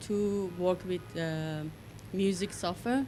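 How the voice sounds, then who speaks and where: The woman's voice rests at a medium pitch and varies in an ordinary way. She goes at a very slow pace. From Iran, Tehran. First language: Farsi. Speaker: DJ and music producer. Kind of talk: panel discussion. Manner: halting, many fillers.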